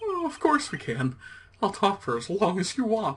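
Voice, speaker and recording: A man speaks in a put-on character voice, pitched high. His pitch swings very widely. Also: moderate pace. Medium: actual play. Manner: rambling, nervous, joking.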